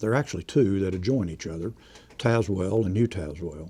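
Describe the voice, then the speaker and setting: Against a quiet background, a man with an East Tennessee accent speaks at a fairly low pitch in a dark, mellow tone. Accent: East Tennessee Southern US. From East Tennessee, Knoxville area. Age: 70s. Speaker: retired district attorney. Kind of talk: oral history interview.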